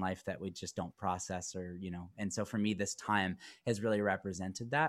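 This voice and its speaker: With an ordinary speaking voice, a man talks at a moderate pace and a fairly low pitch, his pitch variation ordinary, on a very clean recording with a silent background. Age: 30s. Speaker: rock guitarist and vocalist. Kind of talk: casual interview chat. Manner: rambling with many fillers.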